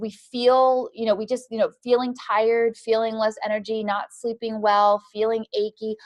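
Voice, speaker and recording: A woman's fairly high voice in monotone, flat intonation, with a dry, close sound and no echo. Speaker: doctor teaching a nutrition class. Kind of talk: lecture. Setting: clinic classroom at a podium. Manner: fast; informal.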